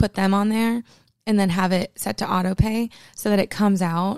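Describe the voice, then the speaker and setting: A woman's unremarkable speaking voice at medium pitch, with fairly even intonation, a dry, close sound with no echo, and a very clean recording with a silent background. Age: 20s. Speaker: podcast host. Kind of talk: casual solo chat. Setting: home recording room. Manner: casual, filler-heavy.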